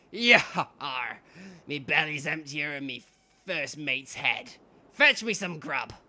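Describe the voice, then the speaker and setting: The speaker uses a put-on character voice at a low-to-middle pitch. The pace is fairly slow, with long, frequent pauses. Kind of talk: pirate dialect. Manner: gruff, swaggering.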